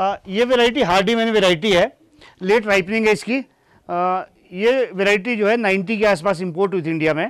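On a very clean recording with a silent background, a man speaks at a high pitch and moderate pace with ordinary pitch variation. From Himachal Pradesh, Shimla district. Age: 50s. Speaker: apple farmer. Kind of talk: interview on own farm.

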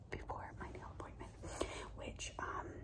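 A woman whispering at a moderate pace. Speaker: vlogger. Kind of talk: casual ASMR vlog chat. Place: home room. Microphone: phone near.

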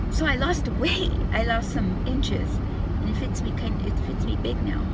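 A woman's fairly slow speech, dry with no echo, over loud background noise. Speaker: beauty and lifestyle vlogger. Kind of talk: casual talk to camera. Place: car. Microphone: phone near.

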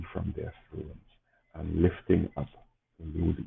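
A man talks in a solemn tone at a fairly slow pace. His intonation stays fairly even against light background noise. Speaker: clergy reading prayers. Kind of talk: liturgical service, prayers read aloud and brief homily. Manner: solemn, reverent, fervent, measured. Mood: calm, reverent. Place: home room.

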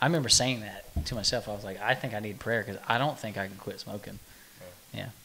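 A man with an American accent and a fairly low pitch talks at a very fast pace with big swings in loudness over light background noise. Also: ordinary pitch variation. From Oklahoma. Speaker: podcast co-host. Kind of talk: casual chat. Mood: relaxed, friendly. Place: meeting room. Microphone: studio mic.

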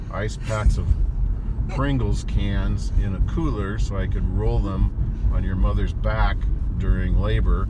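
Over loud background noise, a man talks at a fairly slow pace, the sound dry with no echo. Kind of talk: casual vlog chat. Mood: joking, playful storytelling. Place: car. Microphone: phone near.

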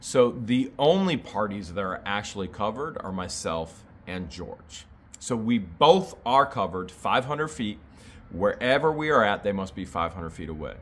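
A man with an American accent, fairly low pitch, very wide pitch swings, big swings in loudness, an animated tone and a fairly slow pace. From Ohio. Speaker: YouTuber. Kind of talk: casual chat answering viewer questions. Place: home room. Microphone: phone near.

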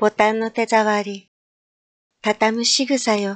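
In a dry, close sound with no echo, a woman with a fairly high pitch speaks at a very slow pace. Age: middle-aged. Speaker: game streamer. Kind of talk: tanka poetry reading.

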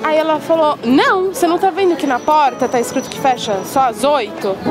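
Clear music plays behind a woman whose high voice, dry with no echo, carries lively intonation at a moderate pace. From São Paulo, Brazil. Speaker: interviewee. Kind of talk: interview answer. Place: waterside.

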